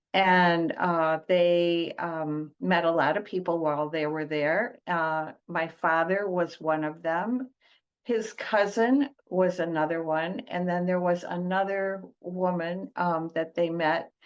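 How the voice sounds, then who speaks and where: Very slow speech from a woman with a fairly low pitch and a Michigan accent, ordinary pitch variation and a quiet background. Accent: US Midwest (Michigan). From Detroit, US Midwest. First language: Italian. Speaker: trauma-informed coach, former teacher. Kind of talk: podcast interview. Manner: hesitant, many fillers.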